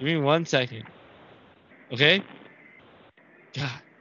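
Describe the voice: Speaking slowly, a man has a fairly high pitch and ordinary pitch variation. His tone is bright and sharp.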